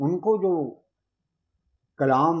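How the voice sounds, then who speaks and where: This man's voice swings very widely in pitch. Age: 70s. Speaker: religious historian. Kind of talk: interview. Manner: formal.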